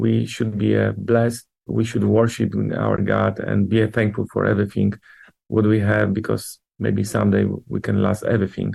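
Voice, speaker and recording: At a moderate pace, a man with a Polish accent speaks with very even loudness. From Poland. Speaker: church leader. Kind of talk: interview. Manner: halting.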